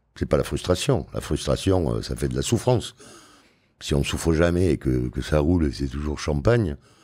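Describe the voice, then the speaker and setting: A man's very deep, low voice, dark and mellow in tone, with lively intonation at a moderate pace against a quiet background. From France, Arcachon Bay (Gironde); France. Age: 60s. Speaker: oyster farmer; guest. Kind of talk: podcast interview. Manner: casual. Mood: relaxed, reflective. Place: studio. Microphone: studio mic.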